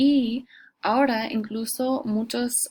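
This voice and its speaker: A woman with an English accent speaks in a somewhat breathy voice. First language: English (speaking Spanish). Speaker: Spanish teacher. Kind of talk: lecture. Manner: hesitant, many fillers.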